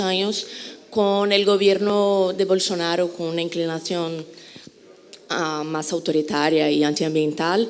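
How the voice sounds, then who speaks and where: The speech moves at a fairly slow pace. Audible room echo can be heard. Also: woman. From Brazil. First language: Portuguese (speaking Spanish). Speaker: journalist, audience member asking a question. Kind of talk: audience question at a conference.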